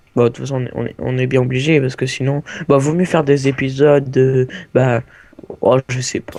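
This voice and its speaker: This man talks at a fairly quick pace and a medium pitch. His intonation is monotone and flat. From France. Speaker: gaming youtuber. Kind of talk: casual gameplay chat. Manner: halting, searching for words.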